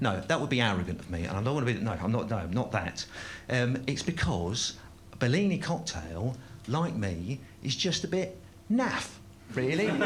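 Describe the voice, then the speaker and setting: A somewhat breathy man's voice with very wide pitch swings and audible room echo. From South London. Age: 50s. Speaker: stand-up comedian. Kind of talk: stand-up. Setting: stage with audience. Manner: halting, many fillers.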